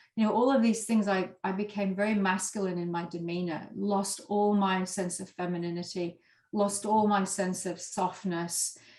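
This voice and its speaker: A woman's medium-pitched voice at a moderate pace, monotone and flat in intonation, with hardly any pauses. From Yorkshire, northern England. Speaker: former corporate lawyer, leadership coach and author. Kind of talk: interview.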